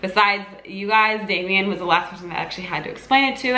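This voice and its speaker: Audible room echo surrounds a woman who speaks with lively intonation. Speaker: lifestyle YouTuber. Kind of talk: casual Q&A vlog. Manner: halting, many fillers and restarts.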